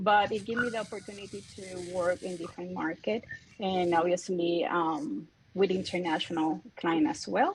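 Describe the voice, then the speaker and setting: A woman speaks at a medium pitch with a Puerto Rican accent. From Puerto Rico. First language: Spanish. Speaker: real estate broker. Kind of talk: self-introduction in a group call.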